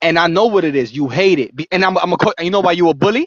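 A man speaks in a high pitch. His pitch variation is ordinary. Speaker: livestream call-in guest. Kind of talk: impassioned speech. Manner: animated.

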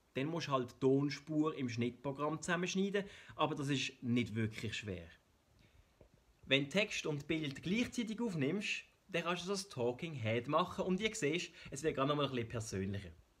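A man's fairly high voice in a Swiss German accent, with very wide pitch swings. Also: moderate pace. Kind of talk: explainer video narration.

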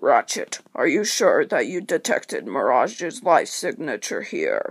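A man performs a put-on character voice at an extremely high pitch. The voice is raspy. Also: moderate pace. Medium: toy film. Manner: commanding, urgent.

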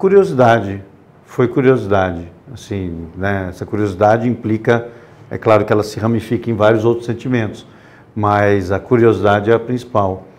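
A man with an unremarkable speaking voice talks at a moderate pace, fairly low in pitch with fairly even intonation. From Brazil, interior of São Paulo (Botucatu); São Paulo, Brazil. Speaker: war photographer; interview guest. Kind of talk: interview. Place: studio.

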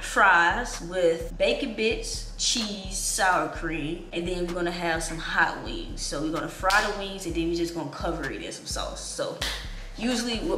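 There is music in the background as a woman speaks at a moderate pace. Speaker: vlogger. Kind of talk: casual vlog chat. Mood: relaxed, casual. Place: home room.

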